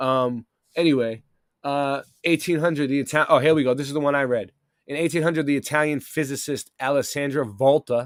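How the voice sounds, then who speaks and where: With a Boston accent, a man speaks at a fairly quick pace and a fairly high pitch. The recording is very clean, with a silent background. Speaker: live stream host. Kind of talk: casual live stream talk, partly reading aloud. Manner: animated.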